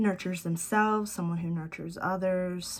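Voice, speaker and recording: A woman's unremarkable speaking voice, fairly low in pitch, with fairly even intonation at a moderate pace. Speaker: tarot reader. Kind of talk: tarot reading to camera. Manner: casual, many fillers.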